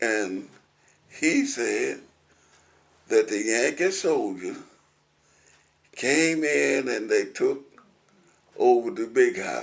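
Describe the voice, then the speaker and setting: With an American accent, a man talks at a very slow pace and leaves long, frequent pauses. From Williamson County, Tennessee. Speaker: retired concrete truck driver and war veteran. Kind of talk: oral history interview answer.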